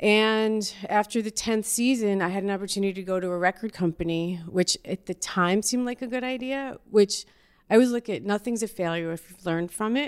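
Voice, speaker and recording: With an American accent, a woman speaks in an ordinary speaking voice at a medium pitch and fairly quick pace, with ordinary pitch variation. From New York (Yonkers). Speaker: talent manager and entrepreneur. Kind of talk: casual chat.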